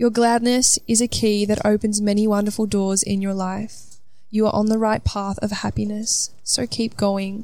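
The voice is dark and mellow, with an Australian accent. Its intonation is monotone and flat, and the pace is moderate. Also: woman, fairly high pitch for a woman. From Australia, Melbourne. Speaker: motivational speaker. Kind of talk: guided meditation; solo motivational monologue. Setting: outdoors on a balcony.

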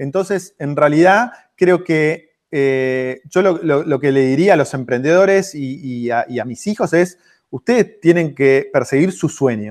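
An unremarkable speaking voice from a man, fairly high in pitch, fairly slow in pace, with lively intonation. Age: 40s. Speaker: entrepreneur and author. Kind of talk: interview.

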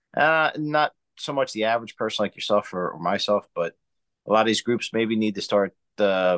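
Over a quiet background, a man speaks at a moderate pace. He has an unremarkable speaking voice with a fairly low pitch. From US, Italian American. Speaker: screenwriter and filmmaker, podcaster. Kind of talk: casual interview chat.

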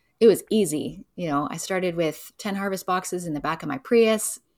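Speaking quickly in a Canadian accent, a woman with a fairly low pitch and an unremarkable speaking voice uses ordinary pitch variation, in a very clean recording with a silent background. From Vancouver, Canada. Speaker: local food distribution business owner. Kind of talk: casual interview.

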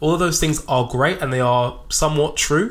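Moderately paced speech from a man, with ordinary pitch variation. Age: 20s. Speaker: podcast host and personal trainer. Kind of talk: solo reflective monologue. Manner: spontaneous, unscripted.

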